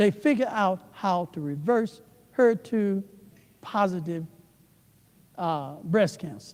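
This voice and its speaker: A man's voice with a dark, mellow tone and lively intonation. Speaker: church elder and preacher. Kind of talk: sermon.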